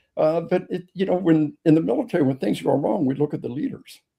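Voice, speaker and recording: A man's fairly high, dark and mellow voice with vocal fry, ordinary pitch variation, and a fairly quick pace. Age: 70s. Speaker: author and police trainer. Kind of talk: interview. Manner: halting, many repeated words; animated.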